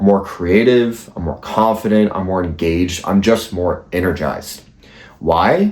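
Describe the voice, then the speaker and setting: At a fairly slow pace, a man with an ordinary speaking voice talks at a fairly low pitch with ordinary pitch variation. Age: 20s. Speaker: YouTuber. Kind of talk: motivational monologue.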